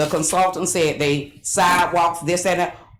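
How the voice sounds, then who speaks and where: There is noticeable noise behind the recording. The woman's voice carries audible room echo. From South Bay, Florida. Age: 70s. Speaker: resident speaking at public comment. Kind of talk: public comment.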